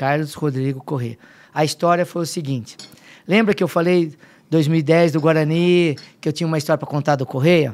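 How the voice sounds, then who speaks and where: A fairly high-pitched male voice at a moderate pace. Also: fairly even intonation. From Limeira, São Paulo state, Brazil; São Paulo State, Brazil. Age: 50s. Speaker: football fitness coach. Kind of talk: casual chat. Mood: emotional when telling family story. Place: studio. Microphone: studio mic.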